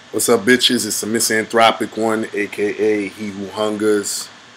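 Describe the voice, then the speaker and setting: A man with a medium pitch speaks at a fairly slow pace in a monotone, flat intonation against noticeable background noise. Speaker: livestream host. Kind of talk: casual livestream chat. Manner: casual, hesitant with many ums.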